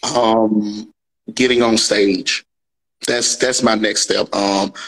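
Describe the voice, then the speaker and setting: In a Mississippi accent, a man at medium pitch speaks very slowly, monotone and flat, his loudness very even. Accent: Mississippi Southern US. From US South, Natchez, Mississippi. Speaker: comedian. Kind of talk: interview. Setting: live stream.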